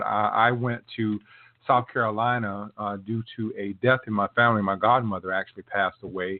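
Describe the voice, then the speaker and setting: The man keeps a moderate pace. His pitch moves in an ordinary way. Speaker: podcast host. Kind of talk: casual podcast intro. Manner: halting, stumbling over words; hesitant, frequent fillers.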